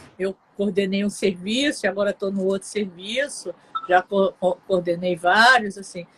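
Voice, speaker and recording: Fairly even intonation at a fairly slow pace, with a dry, close sound and no echo, plus noticeable background noise. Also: woman, medium pitch for a woman. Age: 60s. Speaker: psychologist. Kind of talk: live interview.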